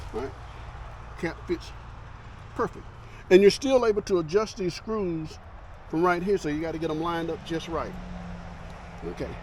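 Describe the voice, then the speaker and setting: The voice is loud. Long, frequent pauses break up the speech. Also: man, high pitch for a man, ordinary pitch variation, moderate pace. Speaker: motorcycle vlogger. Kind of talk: tutorial. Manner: casual.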